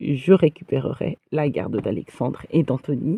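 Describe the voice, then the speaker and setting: A woman with a dark, mellow tone speaks at a fairly slow pace in a dry, close sound with no echo. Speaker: livestreamer. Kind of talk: live stream monologue. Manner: hesitant, many fillers.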